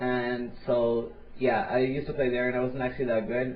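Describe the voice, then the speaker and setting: Audible room echo surrounds a man speaking at medium pitch and a fairly quick pace. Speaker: gaming commentator. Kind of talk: interview. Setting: voice chat call. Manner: fast.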